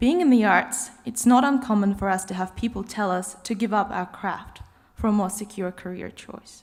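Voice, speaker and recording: Somewhat breathy and fairly high-pitched, a woman speaks with an Australian accent. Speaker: graduate student, cellist. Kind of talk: graduation speech.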